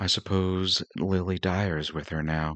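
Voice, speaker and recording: Soft-spoken and strained, a man does a put-on character voice with a very deep, low pitch and flat monotone intonation at a fairly slow pace, over a quiet background. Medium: read story. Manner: soft, mild, restrained.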